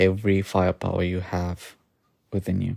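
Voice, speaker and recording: A man speaks at a fairly slow pace. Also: very clean recording, silent background. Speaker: agency owner and podcaster. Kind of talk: personal rant monologue. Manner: dull and gloomy.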